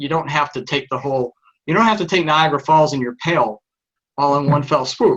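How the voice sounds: A man speaks with a Texan accent at a fairly quick pace. His tone is fairly bright, and his pitch variation is ordinary.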